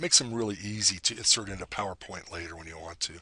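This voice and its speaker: A man speaks at a fairly low pitch with ordinary pitch variation. His tone is bright and sharp. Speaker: software tutorial maker. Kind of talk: tutorial. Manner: casual, self-correcting.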